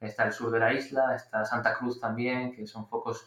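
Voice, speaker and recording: The intonation is flat and monotone. A man delivers it fairly quickly at a medium pitch. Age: 30s. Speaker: storm photographer. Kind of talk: interview podcast. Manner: hesitant, with fillers.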